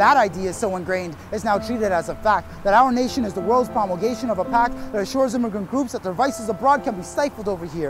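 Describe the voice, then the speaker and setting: Music plays in the background as a man speaks. His pitch is high and his intonation lively. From Canada, Toronto. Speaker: spoken word poet. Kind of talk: spoken word performance. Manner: rhythmic.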